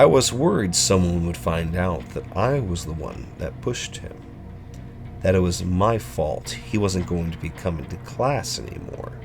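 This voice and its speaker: A man with a very deep, low voice speaks at a moderate pace, his pitch swinging very widely. His loudness also swings a lot, with music in the background. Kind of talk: horror story narration.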